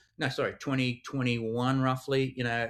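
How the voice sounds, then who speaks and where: A man with an Australian accent talks at a moderate pace and a medium pitch. The sound is dry and close with no echo, on a very clean recording with a silent background. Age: 50s. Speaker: crypto investigations specialist, former police digital forensics expert. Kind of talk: podcast interview. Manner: hesitant, many fillers and repetitions.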